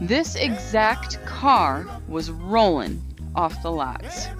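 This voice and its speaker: Over music in the background, a woman talks at a very slow pace. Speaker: automotive show host. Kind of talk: storytelling narration to camera.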